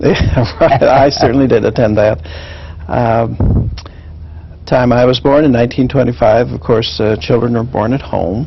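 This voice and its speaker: A man's voice with ordinary pitch variation and long, frequent pauses, over noticeable background noise. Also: medium pitch for a man, moderate pace. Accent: Midwestern US. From Kansas. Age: 50s. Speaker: education professor. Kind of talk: oral history interview. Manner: halting, many fillers.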